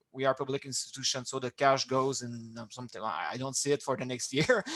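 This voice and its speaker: Talking very fast with a strong non-native accent, a man at medium pitch keeps a fairly even intonation while his loudness swings widely. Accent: strong foreign. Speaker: fab lab manager. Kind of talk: presentation and Q&A in an online meeting. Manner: halting, many repetitions and fillers.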